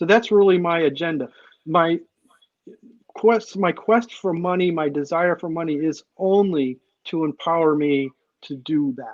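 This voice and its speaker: A male voice, an unremarkable speaking voice, fairly high-pitched, moderately paced and with ordinary pitch variation. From Maine, US Northeast. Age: 60s. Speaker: comic creator and illustrator. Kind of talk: interview.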